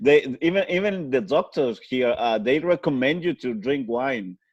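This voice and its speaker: With a Spanish accent, a man speaks at a medium pitch and a fairly slow pace, his intonation lively. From Chile. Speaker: podcast guest. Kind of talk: casual interview. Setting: video call. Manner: halting, hesitant English.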